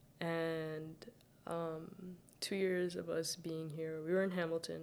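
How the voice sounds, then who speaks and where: At a very slow pace, a woman speaks in a fairly low voice with monotone, flat intonation. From Saudi Arabia, Sudanese family. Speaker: university student. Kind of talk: casual chat.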